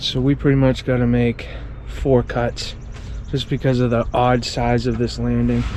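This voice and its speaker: Noticeable background noise sits under the recording. A man talks at a moderate speed. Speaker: hardscaping contractor. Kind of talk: casual on-the-job tutorial. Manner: loud.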